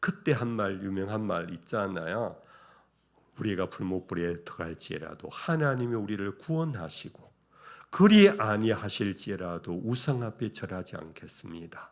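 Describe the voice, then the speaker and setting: A man with an unremarkable speaking voice talks at a fairly slow pace, fairly low in pitch, with lively intonation. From Korea, Daegu. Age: 60s. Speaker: retired pastor. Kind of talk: sermon.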